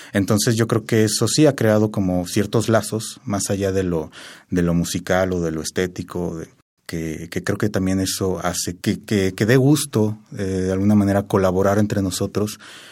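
A man's fairly low voice at a moderate pace with ordinary pitch variation, in a very clean recording over a silent background. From Mexico, Querétaro. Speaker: composer. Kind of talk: interview. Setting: studio. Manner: halting.

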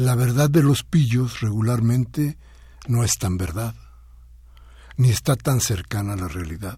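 Speaking at a fairly slow pace with long, frequent pauses, a man uses a medium pitch, a dark, mellow tone that is somewhat breathy, and lively intonation. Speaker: radio host. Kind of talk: radio talk show commentary.

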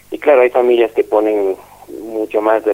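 Noticeable background noise is present. A man talks through it. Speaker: school director. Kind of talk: interview.

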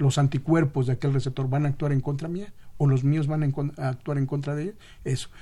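A man speaks at a fairly quick pace in a fairly high pitch, his somewhat breathy voice carrying a dark, mellow tone on a very clean recording with a silent background. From Mexico City (Xochimilco). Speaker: transplant program physician. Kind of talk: radio interview.

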